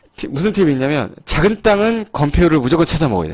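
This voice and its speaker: Lively intonation from a man talking at a fairly quick pace. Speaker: real estate law lecturer. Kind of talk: lecture. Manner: fast.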